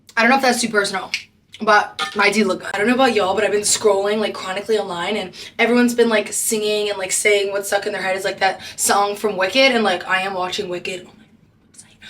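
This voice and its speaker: A woman talks at a very fast pace in a monotone, flat intonation, her loudness swinging widely over noticeable background noise. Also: medium pitch for a woman. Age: 20s. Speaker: travel nurse vlogger. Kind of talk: casual vlog chat. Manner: chatty, fast.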